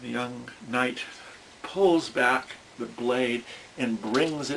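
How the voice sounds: The clip is a natural reading voice with ordinary pitch variation.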